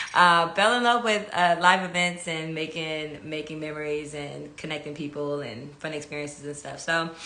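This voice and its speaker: A woman's very deep, low voice in a Californian accent at a moderate pace with hardly any pauses, ordinary pitch variation and big swings in loudness, plus audible room echo and noticeable background noise. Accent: Californian American. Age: 20s. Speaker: event producer and channel host. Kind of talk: casual monologue on a live stream. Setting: Instagram live stream. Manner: casual, with many fillers.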